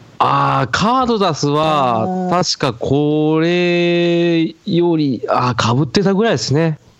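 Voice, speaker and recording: A man speaks at a very slow pace with hardly any pauses, his fairly high pitch and lively intonation carried at a very even loudness. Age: 30s. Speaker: podcast co-host, amateur band member. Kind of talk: casual chat.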